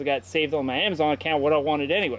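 In a dry sound with no echo, a man speaks at a very fast pace. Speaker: motorcycle vlogger. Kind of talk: casual vlog chat. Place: street. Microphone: phone near.

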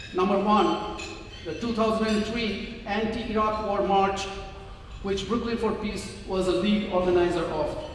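Strong room echo and light background noise surround a man with a high pitch. He speaks at a fairly slow pace. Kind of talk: prepared speech. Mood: earnest, somewhat critical. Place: hall.

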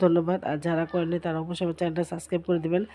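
Over a quiet background, a woman with a fairly low pitch and a dark, mellow tone speaks in a monotone, flat intonation. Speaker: vlogger, housewife. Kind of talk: casual vlog talk to viewers.

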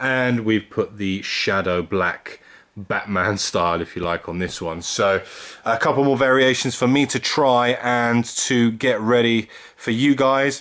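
A man speaks at a fairly slow pace with ordinary pitch variation against a quiet background. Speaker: car vlogger. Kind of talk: casual vlog chat. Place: home room. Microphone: phone near.

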